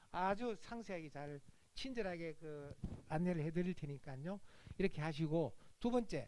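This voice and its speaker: With long, frequent pauses, a man speaks in a high pitch with lively intonation. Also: moderate pace. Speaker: education seminar speaker. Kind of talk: admissions seminar talk.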